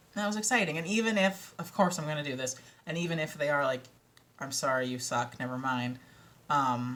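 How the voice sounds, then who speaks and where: The speaker has an American accent and an animated tone, with lively intonation at a fairly quick pace. Noticeable background noise runs behind the voice. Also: woman, very deep, low pitch for a woman. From Minnesota, US. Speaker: audiobook narrator and author. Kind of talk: casual vlog chat. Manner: animated, filler-heavy.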